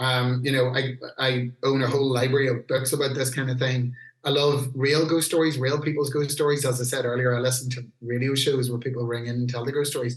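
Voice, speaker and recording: Speaking at a fairly quick pace with a Northern Irish accent, a man keeps a monotone, flat intonation. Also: medium pitch for a man. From Northern Ireland, Newry, County Down. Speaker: heavy metal singer. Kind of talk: casual podcast interview.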